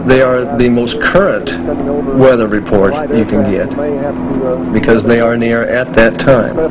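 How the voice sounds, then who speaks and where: Through loud background noise, a man speaks at a moderate pace with ordinary pitch variation. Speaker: pilot instructor. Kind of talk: instructional commentary. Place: plane. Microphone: headset.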